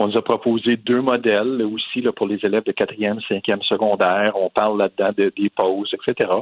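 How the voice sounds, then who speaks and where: In a monotone, flat intonation with very even loudness, a man speaks at a moderate pace with a fairly low pitch. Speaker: private school director. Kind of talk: interview. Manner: halting.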